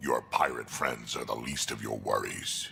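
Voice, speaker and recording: A man growls in a put-on character voice at a moderate pace. Background noise is clearly audible. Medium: video game. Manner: blunt, gruff.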